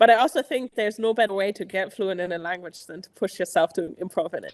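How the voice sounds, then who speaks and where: A woman talks very fast with a German accent at a medium pitch and ordinary pitch variation. Her loudness swings widely, and the sound is dry and close with no echo. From Germany. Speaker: improv theater teacher. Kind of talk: casual chat.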